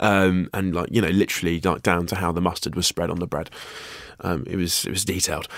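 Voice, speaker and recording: A man talks at a very fast pace in a very deep, low voice. His intonation is monotone and flat. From Guernsey, Channel Islands. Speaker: actor and writer. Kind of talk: casual interview. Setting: studio. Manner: hesitant, many fillers.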